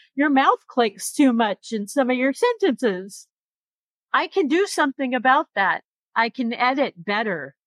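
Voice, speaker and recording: Her pitch is high. The woman's intonation is lively. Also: fairly slow pace, very clean recording, silent background. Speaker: podcast host. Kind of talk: panel discussion.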